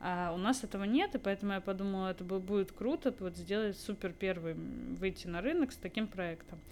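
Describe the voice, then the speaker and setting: Hardly pausing, a woman with an unremarkable speaking voice talks at a fairly quick pace, her medium pitch showing ordinary variation. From Moscow, Russia. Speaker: startup co-founder. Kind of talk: casual interview.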